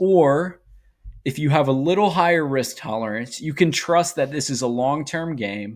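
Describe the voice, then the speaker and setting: An animated man talks at a moderate pace with ordinary pitch variation. The recording is very clean, the background silent. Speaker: finance YouTuber. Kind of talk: investing video monologue.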